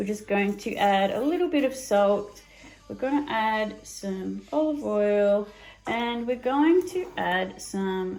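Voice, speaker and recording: Over noticeable background noise, a woman with a fairly high voice speaks very slowly, her intonation lively and her loudness swinging widely. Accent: Australian. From Australia. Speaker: cooking video host. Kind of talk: cooking tutorial. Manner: casual, with frequent fillers.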